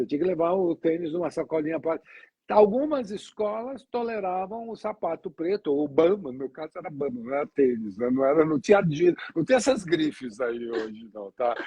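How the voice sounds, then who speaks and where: A man talks at a fairly quick pace in a fairly high voice for a man, his pitch swinging very widely with hardly any pauses. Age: 70s. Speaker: sales trainer and talk show host. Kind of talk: casual interview chat. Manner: conversational, storytelling with self-corrections.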